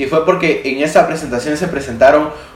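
The room echo is audible and background noise is noticeable. Over it, a man talks in a fairly high voice. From Guatemala. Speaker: tech podcaster and video creator. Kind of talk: casual solo monologue. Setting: home studio on camera.

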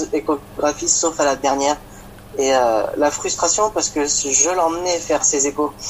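With noticeable background noise behind him, a man speaks in a fairly high pitch with fairly even intonation. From France, Champagne-Ardenne. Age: 20s. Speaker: father sharing his experience. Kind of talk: testimony. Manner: halting.

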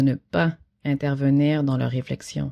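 Her voice is very deep and low, with a dark, mellow tone. The woman is recorded very cleanly against a silent background. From Quebec, Haitian heritage. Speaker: visual artist. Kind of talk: reading aloud.

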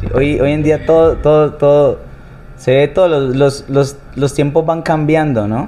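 Amid noticeable background noise, a man with a fairly high pitch speaks fairly slowly, his intonation fairly even. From Colombia, Cali. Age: 30s. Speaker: singer. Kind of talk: interview conversation. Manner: halting, with frequent repetitions.

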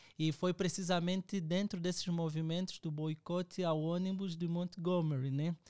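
A man talks at high pitch with monotone, flat intonation and hardly any pauses. The sound is dry and close with no echo. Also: moderate pace. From Angola. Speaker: theologian and doctoral student. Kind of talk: book discussion.

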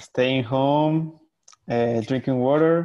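Speaking at a very slow pace, a man with a Spanish accent keeps a medium pitch and fairly even intonation. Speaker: illustrator. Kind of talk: casual chat. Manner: halting, many fillers.

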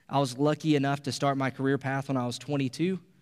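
On a very clean recording with a silent background, a man speaks fairly quickly at a medium pitch. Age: 20s. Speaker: pastor. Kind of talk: sermon. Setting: church. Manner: hesitant, many fillers.

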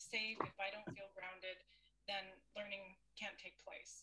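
A woman speaks with a Canadian accent. Her tone is bright and sharp. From Canada. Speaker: teacher and mindfulness instructor. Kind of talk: interview.

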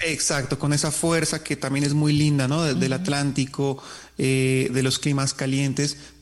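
Moderately paced, a man speaks in a monotone with flat intonation. His loudness stays very even throughout. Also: fairly high pitch for a man. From southern Colombia, Nariño.

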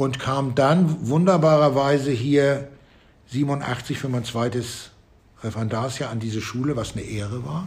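Somewhat breathy and at a fairly slow pace, a man talks in a space with audible room echo. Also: medium pitch for a man, ordinary pitch variation. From northern Germany, Flensburg. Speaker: music and geography teacher. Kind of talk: interview.

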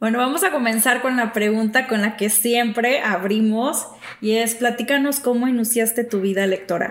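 Over noticeable background noise, a woman at a fairly high pitch talks at a moderate pace with ordinary pitch variation and very even loudness. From Mexico, small town. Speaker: podcast host. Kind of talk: casual chat.

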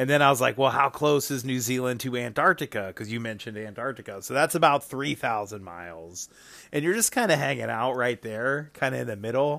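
A man's bright, sharp voice at a medium pitch, fairly quick pace and ordinary pitch variation. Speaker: listener leaving a voicemail. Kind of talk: voicemail message. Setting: recorded voice message.

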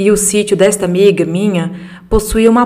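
This woman has an unremarkable speaking voice at a medium pitch, talking at a moderate pace with fairly even intonation. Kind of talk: reading aloud a ghost story sent by a listener, told in first person. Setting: solo podcast recording. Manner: measured, storyteller pacing with vivid detail.

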